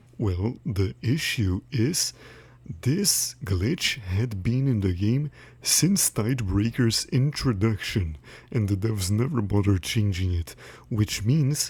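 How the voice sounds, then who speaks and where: Very slowly and with lively intonation, a man with a fairly low, somewhat breathy voice and a slight non-native accent speaks in a very clean recording with a silent background. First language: not English. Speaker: gaming YouTuber. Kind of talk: commentary monologue. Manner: casual.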